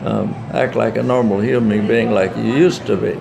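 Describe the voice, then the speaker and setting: Over noticeable background noise and audible room echo, a man talks at a moderate pace in a medium pitch with ordinary pitch variation. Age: 90s. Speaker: war veteran. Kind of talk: interview. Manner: halting.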